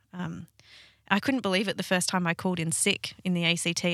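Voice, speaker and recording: A woman with an Australian accent speaks at a fairly low pitch in a monotone, flat way, recorded very cleanly with a silent background and a dry, close sound with no echo. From Sydney, Australia. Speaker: paramedic. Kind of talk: interview.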